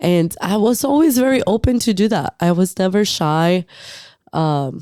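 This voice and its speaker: This woman has a dark, mellow tone at medium pitch, with very wide pitch swings and very even loudness at a fairly slow pace. The recording is very clean, with a silent background. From northern Mexico (Acuña, Coahuila). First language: Spanish. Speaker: muralist and painter. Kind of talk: casual chat.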